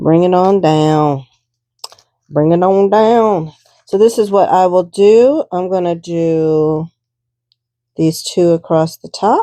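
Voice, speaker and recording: A woman mumbles very slowly with long, frequent pauses, her fairly low voice dark and mellow with ordinary pitch variation, the sound dry and close with no echo. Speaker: art journaling crafter. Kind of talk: craft tutorial, thinking aloud. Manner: mumbling; casual, hesitant.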